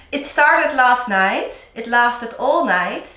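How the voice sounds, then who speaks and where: Her voice raised and projected, a woman speaks at a fairly slow pace amid audible room echo. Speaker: DIY vlogger. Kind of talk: casual vlog chat. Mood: cheerful, laughing often. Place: home room. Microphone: camera far.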